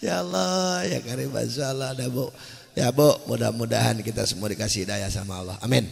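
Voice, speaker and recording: With vocal fry and an animated tone, the speaker moves at a fairly quick pace through very wide pitch swings, and audible room echo fills the recording. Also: man, fairly low pitch for a man. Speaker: Islamic preacher. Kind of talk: sermon. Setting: stage with audience.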